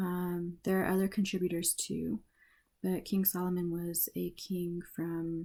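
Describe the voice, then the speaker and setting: A woman with a soothing, calm, dark and mellow tone, a fairly low pitch and a fairly slow pace. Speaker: ASMR reader. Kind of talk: casual talk to camera, intro before reading. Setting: close-mic ASMR recording. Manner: soothing, calm, relaxed.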